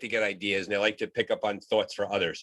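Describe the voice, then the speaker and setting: A man with an American accent at a fairly quick pace, in a very clean, silent recording with a dry, close sound and no echo. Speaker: podcast host. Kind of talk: podcast interview.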